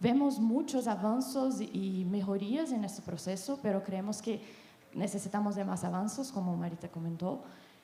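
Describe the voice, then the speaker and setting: Her pitch is medium and varies in an ordinary way as this woman talks at a moderate pace against noticeable background noise. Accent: Portuguese. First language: Portuguese (speaking Spanish). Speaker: patient advocacy representative. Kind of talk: panel discussion.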